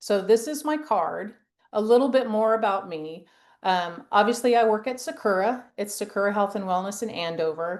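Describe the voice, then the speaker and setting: Over a quiet background, a woman with an unremarkable speaking voice talks at a moderate pace and medium pitch, her intonation lively. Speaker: women's health nurse practitioner. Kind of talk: presentation. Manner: casual, filler-heavy.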